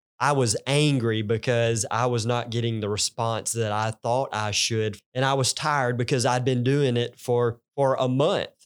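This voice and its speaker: On a very clean recording with a silent background, a man with a Southern US accent speaks at a moderate pace with fairly even intonation. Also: medium pitch for a man. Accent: Southern US country. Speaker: pastor. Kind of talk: casual chat.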